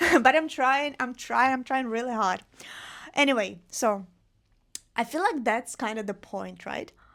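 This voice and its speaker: Speaking with a non-native accent, a woman uses a high pitch with ordinary variation at a fairly slow pace. Long, frequent pauses come through on a very clean recording with a silent background. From Russia, Vladivostok. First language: Russian. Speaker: podcast host. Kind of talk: solo podcast monologue. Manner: casual, conversational.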